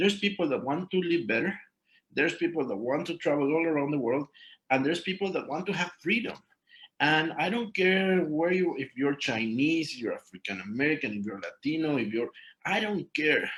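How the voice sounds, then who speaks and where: Pitched fairly high, a man with a Mexican accent talks at a fairly quick pace with lively intonation. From Mexico. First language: Spanish. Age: 30s. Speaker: network marketing distributor. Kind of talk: testimony on a group call. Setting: conference call. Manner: halting.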